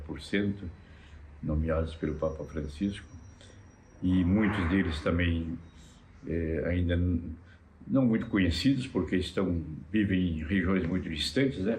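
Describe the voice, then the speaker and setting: Audible room echo surrounds a man whose pitch is very deep and low, with ordinary variation. He talks at a fairly slow pace, somewhat breathy, with long, frequent pauses. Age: 80s+. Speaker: cardinal. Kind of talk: interview. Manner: halting, many fillers.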